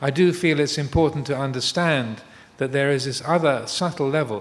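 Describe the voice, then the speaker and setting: With an English accent, a man speaks at a moderate pace and with ordinary pitch variation. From England. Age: 60s. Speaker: Buddhist monk. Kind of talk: dharma talk. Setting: live streamed talk. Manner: halting, many fillers and repetitions.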